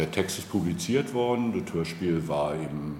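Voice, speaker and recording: Ordinary pitch variation amid noticeable background noise and audible room echo. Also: man. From Brandenburg, former East Germany. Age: 40s. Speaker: local politician. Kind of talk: casual interview. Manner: hesitant, many fillers.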